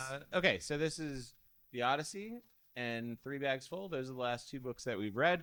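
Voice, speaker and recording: In a slight Boston accent, the speaker talks at a moderate pace with lively intonation and a bright, sharp tone. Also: man, medium pitch for a man. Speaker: comedian and podcast co-host. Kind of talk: casual chat. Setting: comedy club.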